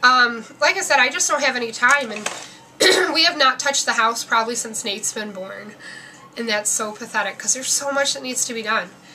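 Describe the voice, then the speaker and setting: Against noticeable background noise, a woman talks at a fairly quick pace with a high pitch. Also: ordinary pitch variation. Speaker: vlogger sharing family and fertility updates. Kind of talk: casual vlog update. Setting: at home. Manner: fast.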